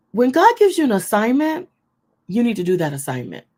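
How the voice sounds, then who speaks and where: A woman speaks loudly, her pitch swinging very widely. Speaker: online ministry host. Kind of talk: inspirational teaching to an online audience.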